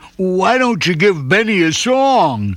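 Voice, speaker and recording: A man puts on a character voice, pitched high and delivered at a fairly slow pace. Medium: read story. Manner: warm.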